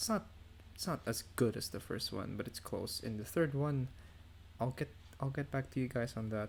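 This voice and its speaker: A somewhat breathy man's voice at medium pitch, lively intonation, and long, frequent pauses. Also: moderate pace. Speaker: podcast host. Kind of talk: casual chat. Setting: online voice call.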